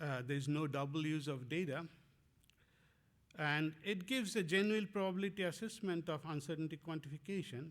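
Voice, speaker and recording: This man speaks with a Bengali accent at a fairly quick pace, his pitch fairly high and its variation ordinary. His loudness stays very even. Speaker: professor. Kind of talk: lecture. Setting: conference talk. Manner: halting, many fillers.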